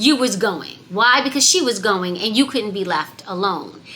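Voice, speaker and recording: A woman speaks in an energetic tone with lively intonation. Noticeable background noise can be heard. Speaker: parenting coach. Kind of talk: motivational talk to camera.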